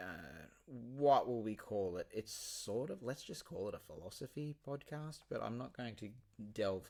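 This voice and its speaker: In a Queensland accent, a man talks at a fairly slow pace with ordinary pitch variation. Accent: Queensland Australian. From Queensland, Australia (Ipswich). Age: 40s. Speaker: podcast host and teacher. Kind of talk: casual monologue. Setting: remote recording software. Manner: hesitant, many fillers.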